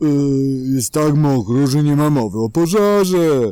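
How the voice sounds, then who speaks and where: A man puts on a character voice with a fairly high pitch. He keeps a moderate pace. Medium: read story. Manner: soft, mumbling.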